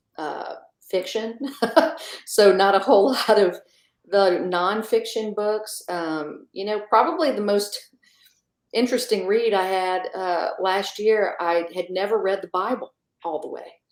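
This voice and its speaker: In an American accent, a woman speaks at a fairly slow pace in a medium pitch, with ordinary pitch variation and long, frequent pauses. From US South (south Louisiana, near New Orleans). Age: 40s. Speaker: magazine editor. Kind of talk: interview conversation.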